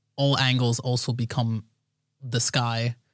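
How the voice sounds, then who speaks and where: In a very clean recording with a silent background, a man uses a normal speaking voice at medium pitch. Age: 20s. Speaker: video game environment artist. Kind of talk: casual chat.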